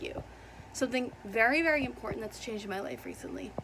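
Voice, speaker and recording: A woman's fairly high voice at a very fast pace amid noticeable background noise. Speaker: booktuber. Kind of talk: casual vlog chat. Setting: at home.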